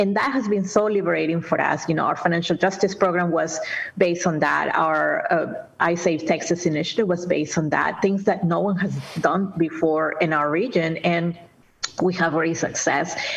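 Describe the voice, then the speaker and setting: A woman with a Spanish accent talks at a moderate pace, her pitch fairly low and her intonation fairly even. Her loudness stays very even, with noticeable background noise behind her. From Peru, Lima. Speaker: nonprofit executive director. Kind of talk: interview. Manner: halting.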